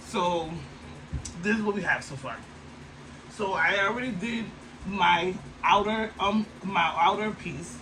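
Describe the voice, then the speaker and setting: With noticeable background noise and audible room echo, a man with a high pitch talks in an animated tone and a raised, projected voice at a fairly slow pace. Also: ordinary pitch variation. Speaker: sewing crafter vlogger. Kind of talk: tutorial.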